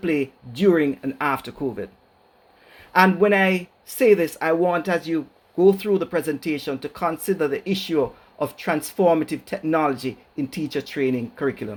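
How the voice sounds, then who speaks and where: Speech at a moderate pace with a Jamaican accent and ordinary pitch variation. The recording is very clean, with a silent background. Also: man. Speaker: educator, keynote speaker. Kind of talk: keynote lecture.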